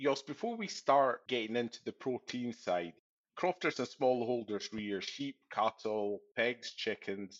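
A man with an ordinary speaking voice talks at a fairly slow pace, medium in pitch, with ordinary pitch variation. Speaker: podcast host, farm advisor. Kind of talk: interview.

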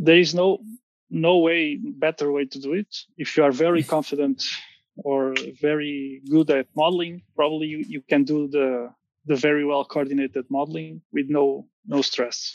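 A man with a Portuguese accent speaks at a fairly high pitch, the sound dry and close with no echo. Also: ordinary pitch variation, moderate pace. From Portugal. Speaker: structural engineer. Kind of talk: casual interview. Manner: halting.

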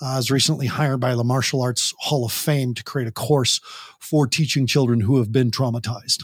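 Somewhat breathy, a man speaks at a fairly quick pace and medium pitch. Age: 50s. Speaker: parent coach and teen addiction interventionist. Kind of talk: interview. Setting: standing while recording. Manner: animated.

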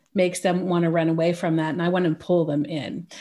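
A woman with a Californian accent talks at a moderate pace. Her voice is fairly low, with a dark, mellow tone. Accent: American, California. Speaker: pricing consultant for small businesses. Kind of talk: casual interview chat. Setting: remote call from Switzerland.

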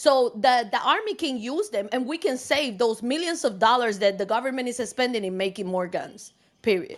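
A woman with a non-native accent, high pitch and lively intonation, hardly pausing at all. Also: moderate pace. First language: not English. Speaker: discussion participant. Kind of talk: group discussion. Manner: halting.

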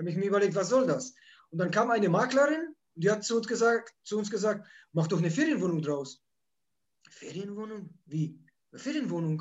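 At a fairly quick pace, a man with a high pitch and lively intonation talks with long, frequent pauses. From Poland, moved to Germany at age nine. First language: Polish (speaking German). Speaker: holiday rental landlord and YouTuber. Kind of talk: interview.

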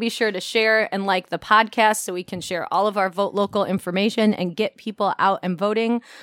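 Fairly quick and with hardly any pauses, a woman with an American accent speaks in an ordinary speaking voice at a fairly high pitch with ordinary pitch variation, the sound dry and close with no echo in a very clean recording with a silent background. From Elgin, Illinois, US Midwest. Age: 40s. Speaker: podcast host and arts nonprofit director. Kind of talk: interview.

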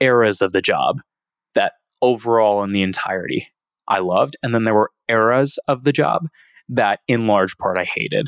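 A plain, everyday voice from a man at medium pitch and moderate pace, with ordinary pitch variation, a dry, close sound with no echo and a quiet background. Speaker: business executive and podcaster. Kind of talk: casual interview chat.

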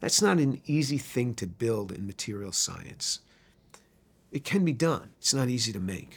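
A man speaks with a New York accent at a moderate pace. His medium-pitched voice has lively intonation. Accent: New York American. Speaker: chemistry professor. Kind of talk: testimony. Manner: halting, many fillers.

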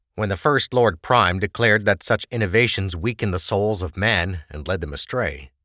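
Recorded very cleanly with a silent background and a dry, close sound with no echo, a man speaks at a fairly low pitch with a bright, sharp tone and lively intonation. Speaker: audiobook narrator. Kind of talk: dramatic fantasy audiobook narration with character dialogue. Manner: measured, expressive storytelling cadence; voices distinct characters in dialogue.

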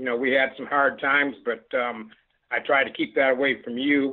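An ordinary speaking voice from a man, fairly high in pitch, with fairly even intonation at a moderate pace. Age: 50s. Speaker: host's father. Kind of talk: casual chat.

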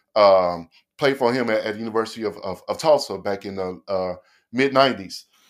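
A man with an American accent speaks at a moderate pace and medium pitch, with ordinary pitch variation. The recording is very clean, with a silent background. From Oklahoma City. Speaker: sports referee and clothing designer. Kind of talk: casual interview chat. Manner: halting, many repetitions and fillers.

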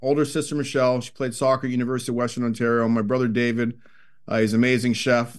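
A man with a Toronto accent, very fast, medium-pitched and monotone with flat intonation, over a quiet background. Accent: Toronto Canadian English. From Canada, Scarborough, Toronto. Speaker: hockey analyst and former player. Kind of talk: casual interview.

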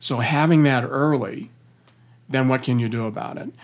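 A man with an American accent has a normal speaking voice. His medium pitch carries fairly even intonation. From US Midwest (Missouri). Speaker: company CEO. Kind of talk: interview.

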